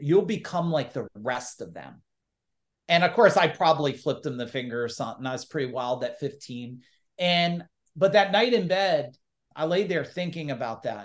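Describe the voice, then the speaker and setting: With lively intonation and big swings in loudness, a man talks at a moderate pace against a quiet background. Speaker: entrepreneur and business coach. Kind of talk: casual interview. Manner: animated.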